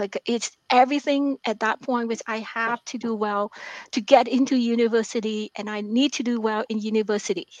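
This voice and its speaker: A woman with a non-native accent speaks at a fairly high pitch, her intonation fairly even. The sound is dry and close with no echo, against a quiet background. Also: moderate pace. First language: not English. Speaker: author and mathematics professor. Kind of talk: interview.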